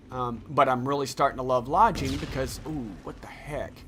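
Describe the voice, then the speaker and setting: With a rural Indiana accent, a man at medium pitch speaks in an animated tone at a moderate pace. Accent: Indiana country. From Indiana, US Midwest. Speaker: gaming YouTuber. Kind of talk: gameplay tutorial commentary.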